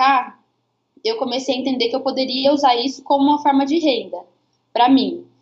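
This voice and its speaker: A woman is speaking. Her pitch is high. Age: 20s. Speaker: missionary and digital content creator. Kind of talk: casual chat on a live stream.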